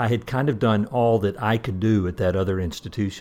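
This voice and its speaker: With a Southern US accent, a man talks at a moderate pace in a fairly low pitch with ordinary pitch variation. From US South. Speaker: retired association president. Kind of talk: casual interview. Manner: repeats words, hesitant.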